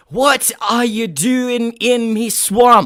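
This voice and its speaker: Someone performs a put-on character voice in a Scottish accent at a fairly high pitch. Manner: imitating a cartoon voice.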